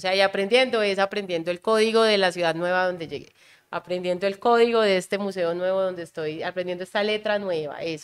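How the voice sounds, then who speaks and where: A woman at a medium pitch talks at a moderate pace with ordinary pitch variation, an unremarkable speaking voice. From Colombian Caribbean coast. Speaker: calligrapher and visual artist. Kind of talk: casual interview conversation.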